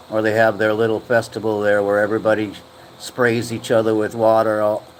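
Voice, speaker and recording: A man's fairly low, monotone voice with an American accent and flat intonation, moving at a fairly quick pace over noticeable background noise. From USA. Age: 60s. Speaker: live streamer. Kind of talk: casual chat. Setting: livestream. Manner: halting.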